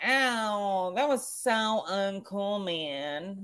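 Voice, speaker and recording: A whiny, put-on character voice at a middle pitch. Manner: whining, indignant.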